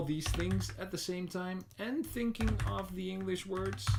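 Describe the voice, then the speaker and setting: A man speaks with a Dutch accent at a fairly slow pace. Noticeable background noise runs underneath. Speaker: indie game developer streamer. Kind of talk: live stream commentary while working; casual live-stream chat. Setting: live stream. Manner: casual, hesitant with fillers. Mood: self-deprecating, distracted. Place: home room.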